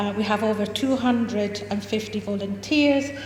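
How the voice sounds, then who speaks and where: A woman with a slight Scottish accent, fairly high pitch and fairly even intonation at a moderate pace, amid audible room echo and noticeable background noise. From Scotland (Fife), refugee from Chile as a child. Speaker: charity founder. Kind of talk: public presentation. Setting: venue with live audience. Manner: halting with many fillers.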